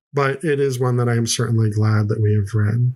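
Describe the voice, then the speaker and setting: Somewhat breathy, a man speaks at a moderate pace with medium pitch and ordinary pitch variation. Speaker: podcast host reviewing children's books; parent. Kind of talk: book review podcast talk. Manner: repetitive, some false starts.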